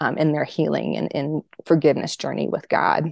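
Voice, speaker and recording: A woman's very deep, low pitch with vocal fry at a fairly quick pace, in a dry, close sound with no echo and a quiet background. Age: 40s. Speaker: author and ministry leader. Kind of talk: testimony.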